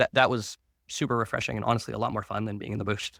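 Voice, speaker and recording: There is vocal fry in this man's fairly low voice, which has a bright, sharp tone. The sound is dry and close, with no echo. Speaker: business owner, podcast co-host. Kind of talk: casual chat. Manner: halting.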